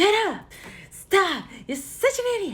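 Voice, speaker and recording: This put-on character voice shouts at an extremely high pitch. The pace is fairly slow. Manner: yelling angrily.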